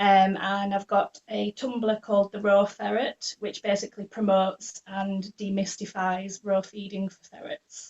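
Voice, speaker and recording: In a Yorkshire accent, a woman speaks at medium pitch with a somewhat breathy voice. Her intonation is monotone and flat, while her loudness swings widely. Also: fairly slow pace. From northern England, Leeds. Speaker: ferret raw-feeding blogger. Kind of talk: podcast interview.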